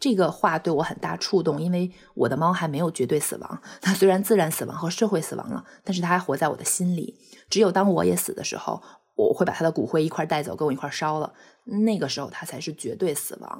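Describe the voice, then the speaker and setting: Speaking at a very fast pace, a woman uses a fairly low pitch with ordinary pitch variation. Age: 30s. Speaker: pet owner sharing bereavement story. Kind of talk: personal testimony. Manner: halting, with fillers and repetitions.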